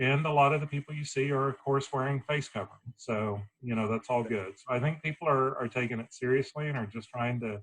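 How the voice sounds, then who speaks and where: Somewhat breathy, a man talks at a fairly quick pace and a medium pitch. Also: dry, close sound with no echo. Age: 50s.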